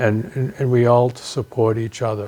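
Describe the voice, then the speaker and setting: The tone is dark and mellow, delivered at a moderate pace. Intonation stays monotone and flat. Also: man. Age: 70s. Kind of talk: personal testimony interview.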